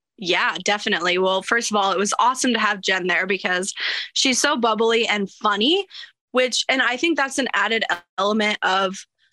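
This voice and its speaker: Bright and sharp in tone, a woman talks at a medium pitch and moderate pace with ordinary pitch variation. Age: 30s. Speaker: real estate investor. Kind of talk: casual interview.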